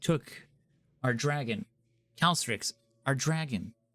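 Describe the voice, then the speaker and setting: A man puts on a character voice, fairly high in pitch and fairly slow in pace, captured in a very clean recording with a silent background. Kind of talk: broken speech. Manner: muttering.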